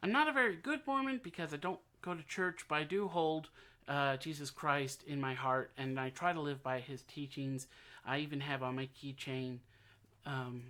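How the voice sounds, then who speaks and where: A man with an American accent speaks at a moderate pace and fairly high pitch, with fairly even intonation. His tone is bright and sharp, and the recording is very clean with a silent background. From United States. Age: 30s. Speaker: aspiring presidential candidate. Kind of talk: campaign announcement to camera. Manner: halting, loses track, misspeaks.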